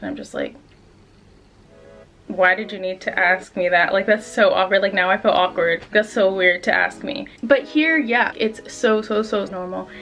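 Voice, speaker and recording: Over background music, a woman with an American accent talks at a medium pitch with ordinary pitch variation. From southern California, USA. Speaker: YouTuber, Japan lifestyle vlogger. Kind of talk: casual talk to camera. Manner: fast, casual, frequent 'like'.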